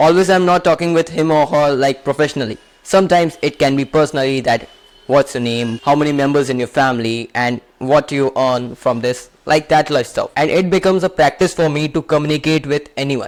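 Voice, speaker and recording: A man with an Indian accent talks at a fairly quick pace, his fairly high pitch showing ordinary variation. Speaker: self-help youtuber. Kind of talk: motivational talk to camera.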